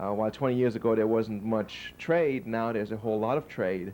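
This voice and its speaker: A man's medium-pitched voice, dark and mellow in tone, at a fairly quick pace with ordinary pitch variation. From Germany and Liberia. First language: German. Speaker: PhD graduate. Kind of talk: interview. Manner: halting, many fillers and repeats.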